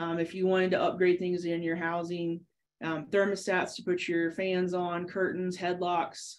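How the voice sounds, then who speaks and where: A woman's fairly low voice in a monotone, flat intonation. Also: moderate pace. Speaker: dairy extension specialist. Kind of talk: webinar tutorial. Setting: video call. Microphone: webcam.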